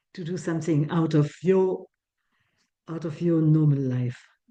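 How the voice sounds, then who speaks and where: A woman's dark, mellow tone with a Swiss French accent, at a fairly slow pace. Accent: French-Swiss accent, noticeable. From French-speaking Switzerland. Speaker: breathwork teacher. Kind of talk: online talk. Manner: halting, with many restarts.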